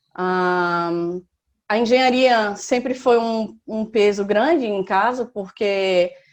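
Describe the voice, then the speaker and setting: Fairly high female voice at a very slow pace, with ordinary pitch variation. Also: quiet background. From Recife, northeastern Brazil. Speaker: civil engineer on sabbatical. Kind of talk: interview, personal life story.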